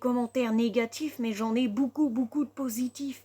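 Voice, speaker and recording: Speaking at a fairly slow pace, a woman keeps her high-pitched voice to a fairly even intonation. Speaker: content creator. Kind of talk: vlog rant. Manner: agitated.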